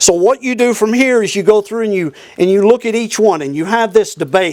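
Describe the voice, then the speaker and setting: The sound of this man's voice is dry and close, with no echo. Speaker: church bible class teacher. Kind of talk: lecture. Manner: fast.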